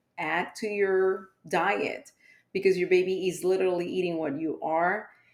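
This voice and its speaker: Speaking with a Spanish accent at a moderate pace, a woman keeps a medium pitch and fairly even intonation. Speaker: pediatrician. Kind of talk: podcast interview.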